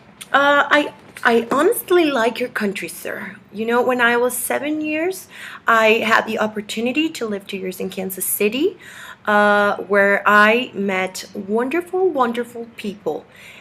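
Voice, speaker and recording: A woman's fairly high, bright, sharp voice with lively intonation at a fairly slow pace. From Mexico. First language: Spanish. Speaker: activist vlogger. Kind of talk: video message read from script. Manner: halting, many fillers.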